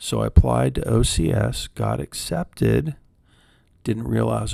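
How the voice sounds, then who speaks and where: A man speaks soft and calm in a very deep, low pitch, his tone dark and mellow. Vocal fry runs through it, and his pitch swings very widely. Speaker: counselor, former military officer. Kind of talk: soft-spoken ASMR talk to camera. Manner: soft-spoken, calm, rambling.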